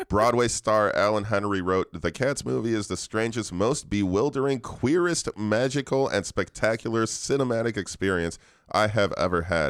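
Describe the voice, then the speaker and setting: Over a silent background in a very clean recording, a plain, everyday voice moves at a moderate pace with lively intonation, very even loudness and hardly any pauses. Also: man, fairly low pitch for a man. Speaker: podcast co-host. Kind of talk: casual banter. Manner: joking, laughs often.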